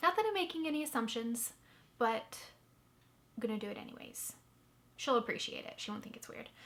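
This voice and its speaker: Against noticeable background noise, a woman with a high pitch talks at a fairly quick pace with ordinary pitch variation, big swings in loudness, and long, frequent pauses. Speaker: knitting podcaster. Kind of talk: casual chat.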